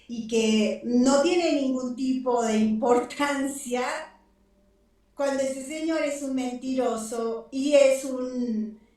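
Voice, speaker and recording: There is audible room echo around a woman with a high voice. Her tone is animated, with ordinary pitch variation. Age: 60s. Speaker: architect and UFO research center representative. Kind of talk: interview.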